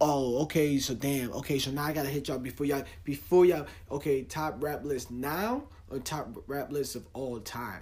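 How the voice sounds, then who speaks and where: Speaking at a moderate pace, a man uses an animated tone and a fairly high pitch with ordinary pitch variation. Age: 30s. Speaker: podcast host. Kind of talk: casual monologue.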